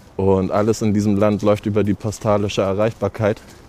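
Here a man talks at a fairly quick pace. His pitch is fairly low and his intonation monotone and flat. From Germany, Hamburg. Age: 30s. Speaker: founder of a shower bus for homeless people. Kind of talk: interview.

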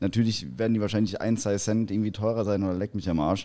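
A man's voice with a dark, mellow tone. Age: 20s. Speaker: logistics site manager. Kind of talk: casual discussion.

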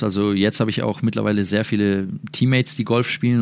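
A man rattles along at a very fast pace, his fairly low pitch showing ordinary variation. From Würzburg, Germany. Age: 20s. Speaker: professional basketball player. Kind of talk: interview.

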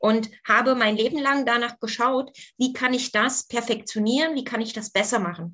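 Her pitch is high for a woman, with ordinary variation. She talks at a moderate pace. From East Germany. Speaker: former aerobics champion and fitness coach. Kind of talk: interview.

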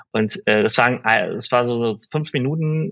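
A man talks at a moderate pace and medium pitch with ordinary pitch variation, in a plain, everyday voice. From Berlin, Germany. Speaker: digital media executive. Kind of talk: interview conversation.

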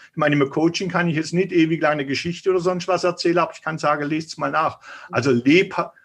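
Against a quiet background, a man with a fairly high pitch talks at a very fast pace with fairly even intonation. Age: 50s. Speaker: author and health coach. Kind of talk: interview.

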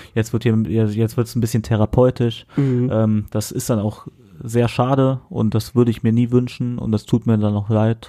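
In a dark, mellow tone, a man speaks at medium pitch and a moderate pace with monotone, flat intonation. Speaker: podcast co-host. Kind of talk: casual chat. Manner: often stumbles over words.

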